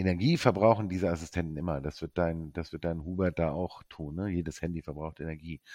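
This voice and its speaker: In a very clean recording with a silent background, a man with a very deep, low pitch and a dark, mellow tone talks at a fairly quick pace with hardly any pauses and fairly even intonation. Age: 50s. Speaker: entrepreneur, sustainability engineer. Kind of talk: casual chat.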